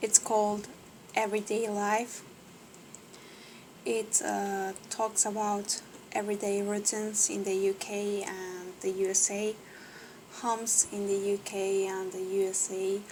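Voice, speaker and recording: A woman's medium-pitched, monotone, flat delivery at a fairly slow pace, with a non-native accent and long, frequent pauses. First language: not English. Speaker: English learner. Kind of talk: reading aloud with commentary. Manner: halting, many fillers; unsure pronunciation.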